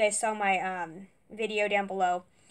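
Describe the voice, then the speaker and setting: At a fairly slow pace, a woman speaks in a fairly high pitch. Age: 20s. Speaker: YouTuber doing product unboxing. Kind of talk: casual unboxing vlog. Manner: halting, many fillers. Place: home room. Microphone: webcam.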